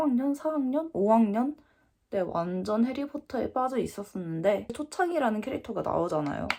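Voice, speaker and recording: A woman speaks with very wide swings in pitch. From England (Korean diaspora, raised in UK from age 2). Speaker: YouTuber. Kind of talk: casual storytelling vlog.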